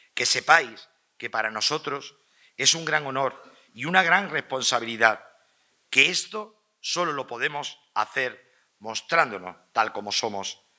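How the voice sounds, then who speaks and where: Speaking at a fairly slow pace over a quiet background, a man has a bright, sharp tone, lively intonation and big swings in loudness. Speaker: pregonero giving festival address. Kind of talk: ceremonial festival address (pregón), formal oratory. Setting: stage with audience. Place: hall. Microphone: podium.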